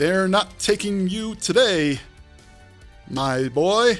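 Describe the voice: A man's put-on character voice, high-pitched and growling, with lively intonation and a very slow pace, over faint music in the background.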